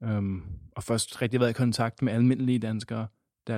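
A man speaks in a monotone with flat intonation at a moderate pace, the sound dry and close with no echo. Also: very clean recording, silent background. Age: 20s. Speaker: theology student. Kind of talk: interview. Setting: synagogue.

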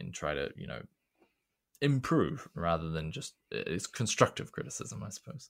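Speaking with a New Zealand accent, a man swings his pitch very widely, lets vocal fry show, and leaves long, frequent pauses. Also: fairly low pitch for a man, moderate pace, big swings in loudness. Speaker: secondary school teacher and classics meme creator. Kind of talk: casual chat.

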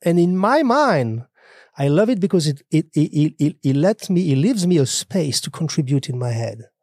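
A man speaks with a French accent at a moderate pace, his dark, mellow tone rising and falling in very wide pitch swings. The sound is dry and close with no echo, on a very clean recording with a silent background. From France. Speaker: podcast host. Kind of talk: interview conversation. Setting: on location away from home studio. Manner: formal.

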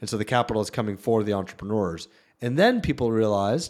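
In a very clean recording with a silent background, a man with a plain, everyday voice talks at a moderate pace, his fairly low pitch held in fairly even intonation. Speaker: venture capital investor. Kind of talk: casual interview chat.

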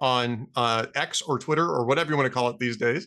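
Lively intonation and a bright, sharp tone mark this man's speech. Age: 60s. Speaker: podcast host. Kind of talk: casual interview.

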